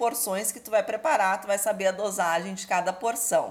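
Fairly high in pitch with ordinary pitch variation, a woman talks in a plain, everyday voice. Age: 40s. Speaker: cannabis cooking teacher. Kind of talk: interview.

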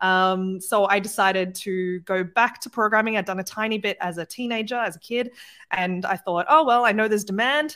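A woman with an Australian accent talks at a fairly quick pace in a medium pitch with ordinary pitch variation. Her tone is bright and sharp, and the recording is very clean with a silent background.

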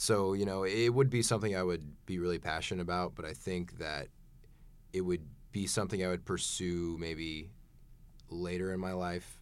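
A man with an American accent, very deep and low in pitch, ordinary pitch variation, fairly quick pace. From Oklahoma (Tulsa area). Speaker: college bowler. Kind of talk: interview. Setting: studio.

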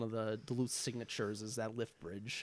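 A man in a Minnesota accent with fairly even intonation. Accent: Upper Midwest (Minnesota) American. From Minnesota, Twin Cities area. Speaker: recent college graduate. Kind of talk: casual chat.

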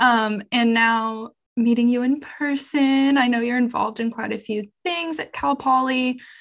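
A plain, everyday voice at a fairly slow pace, fairly even in intonation, over a quiet background. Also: woman. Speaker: podcast host, journalism student. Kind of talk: casual chat.

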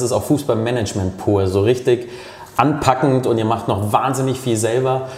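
In a room with audible echo and noticeable background noise, a man speaks at a moderate pace, his medium pitch moving with ordinary variation. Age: 30s. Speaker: podcast host. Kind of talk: casual interview.

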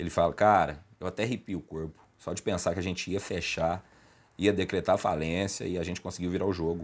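A man's very deep, low voice comes through on a very clean recording against a silent background. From Lavras, Minas Gerais, Brazil. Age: 20s. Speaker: food business owner. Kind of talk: casual podcast chat.

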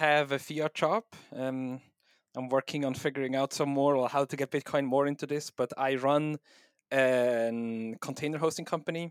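Slow-paced and fairly high-pitched, a man with a Swiss German accent speaks in fairly even intonation, the sound dry and close with no echo on a very clean recording with a silent background. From Switzerland. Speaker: software developer and home miner. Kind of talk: casual technical interview.

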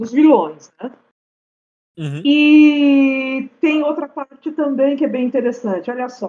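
A woman with a high pitch and a dark, mellow tone speaks at a very slow pace, with ordinary pitch variation and big swings in loudness. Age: 50s. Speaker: podcast guest. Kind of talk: casual chat.

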